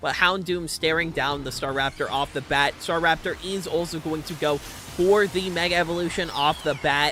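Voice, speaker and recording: With music in the background, a man with a high pitch talks at a fairly quick pace with hardly any pauses. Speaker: vtuber streamer and tournament caster. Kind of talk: live game commentary. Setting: livestream. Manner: stuttering; animated.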